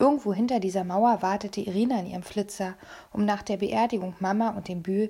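What's heard is a natural reading voice.

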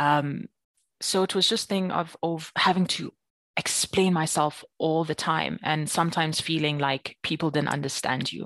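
This woman's pitch is very deep and low, and she speaks at a moderate pace. The sound is dry and close, with no echo. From South Africa, Free State. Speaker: podcast guest. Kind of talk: casual chat.

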